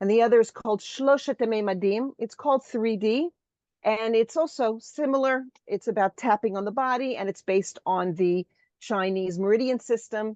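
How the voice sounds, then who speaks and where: An unremarkable speaking voice from a woman, fairly high in pitch, with ordinary pitch variation at a moderate pace against a quiet background. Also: dry, close sound with no echo. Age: 60s. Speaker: bride teacher and EFT practitioner. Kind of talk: interview.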